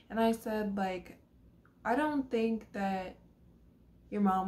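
A somewhat breathy woman at a fairly slow pace. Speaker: vlogger telling a personal story. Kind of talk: casual vlog chat. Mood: somber, regretful. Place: home room. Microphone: phone near.

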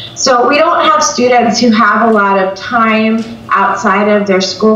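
Audible room echo around a woman speaking at a fairly slow pace. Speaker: remote panelist. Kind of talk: panel presentation. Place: home room. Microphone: video call.

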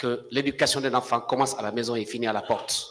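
Flat and monotone, the voice moves along at a moderate pace. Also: man. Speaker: defense lawyer. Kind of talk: courtroom questioning. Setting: courtroom. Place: hall. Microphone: podium.

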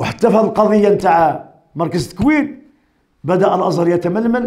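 Over a quiet background with audible room echo, a man with a high pitch talks at a moderate pace with ordinary pitch variation. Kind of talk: sermon. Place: home room. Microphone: podium.

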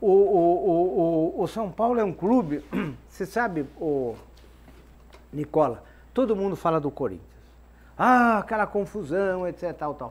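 The speech has lively intonation, broken by long, frequent pauses. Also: man, high pitch for a man, fairly slow pace. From Brazil. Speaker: football club executive, club presidential candidate; candidate. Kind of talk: TV football debate. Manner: halting, repeats words. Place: studio.

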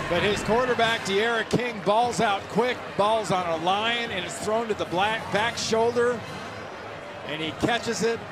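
With ordinary pitch variation, the moderate-paced speech is accompanied by noticeable background noise. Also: man. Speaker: color commentator. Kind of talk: live football color analysis. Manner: chatty, admiring analyst breaking down replays.

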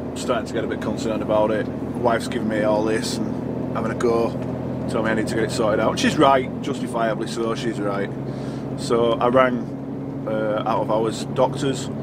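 A man at a moderate pace with ordinary pitch variation, in a dry sound with no echo over loud background noise. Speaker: truck driver vlogger. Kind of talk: casual vlog chat. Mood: calm, slightly concerned. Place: car.

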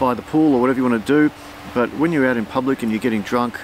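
A man with an Australian accent, fairly even intonation, dry sound with no echo, and light background noise. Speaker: family vlogger and artist. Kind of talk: casual chat. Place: garden.

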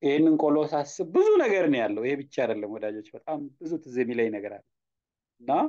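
The voice has a dark, mellow tone, with lively intonation and big swings in loudness. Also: man, fairly high pitch for a man. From Ethiopia, Arsi. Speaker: youth education advocate. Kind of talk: personal storytelling monologue.

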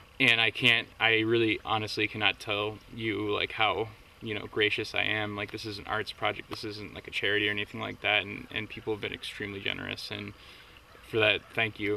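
A man with an American accent, fairly low pitch and monotone, flat intonation at a fairly quick pace, dry with no echo, over light background noise. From US Northeast, tri-state area. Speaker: film writer-director. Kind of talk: interview. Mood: earnest, grateful. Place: open country.

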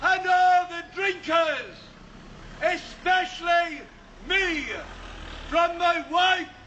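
A man's raised, projected voice at an extremely high pitch, very slow and fairly even in intonation, over light background noise. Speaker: town crier. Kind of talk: town crier proclamation. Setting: outdoors. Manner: loud, declamatory. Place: street.

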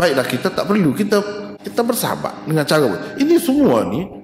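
Faint music plays behind a man speaking at a moderate pace. The room echo is audible. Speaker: religious teacher. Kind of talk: lecture. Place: hall. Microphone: podium.

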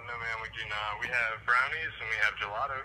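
Fast-paced speech from a man at medium pitch, with fairly even intonation

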